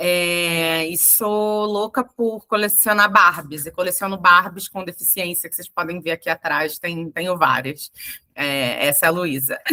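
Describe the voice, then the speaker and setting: A woman's fairly low, bright, sharp voice at a fairly slow pace, with ordinary pitch variation and big swings in loudness. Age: 40s. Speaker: HR professional. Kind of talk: interview. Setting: livestream. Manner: hesitant, many fillers.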